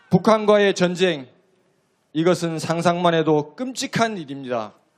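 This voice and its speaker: The intonation is lively. The pace is fairly slow. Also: man, high pitch for a man. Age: 50s. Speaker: citizen speaker at political rally. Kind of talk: public speech at rally.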